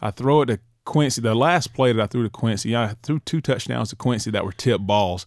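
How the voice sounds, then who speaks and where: A man's medium-pitched voice with a Southern US accent, fairly quick, with ordinary pitch variation, dry and close with no echo, in a very clean recording over a silent background. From northern Florida. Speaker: former college quarterback and football coach. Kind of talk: casual interview chat. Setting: recording studio.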